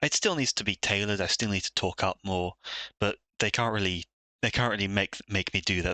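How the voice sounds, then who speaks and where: A soft-spoken man at a fairly low pitch and a fairly quick pace, with fairly even intonation, a dry, close sound with no echo and a quiet background. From Britain. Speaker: streamer and digital artist. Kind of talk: live stream commentary while drawing. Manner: soft-spoken, quiet; hesitant, many fillers.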